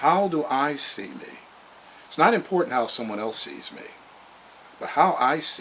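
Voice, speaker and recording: The speaker's pitch swings very widely at a moderate pace. Background noise is noticeable. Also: man. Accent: American. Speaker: motivational vlogger. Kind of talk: motivational monologue. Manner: halting, many fillers.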